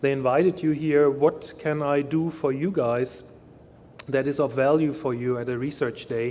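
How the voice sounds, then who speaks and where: A man with a German accent talks at a moderate pace and a fairly high pitch. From Germany. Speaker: industry research scientist. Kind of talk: keynote talk.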